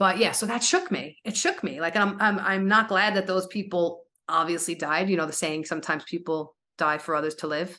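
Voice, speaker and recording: With an American accent, a woman has an ordinary speaking voice at a fairly low pitch with fairly even intonation. She talks at a fairly quick pace over a quiet background. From New York. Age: 40s. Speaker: author and podcaster. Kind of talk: casual interview.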